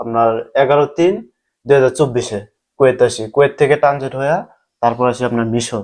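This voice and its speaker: With a quiet background, a man uses an ordinary speaking voice, fairly high in pitch with fairly even intonation. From Bangladesh, Kishoreganj. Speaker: migrant worker. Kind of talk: interview testimony.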